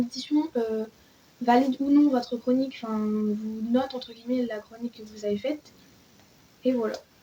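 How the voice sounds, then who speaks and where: Her high-pitched voice keeps fairly even intonation as the woman speaks at a moderate pace. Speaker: book YouTuber. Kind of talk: casual vlog talk.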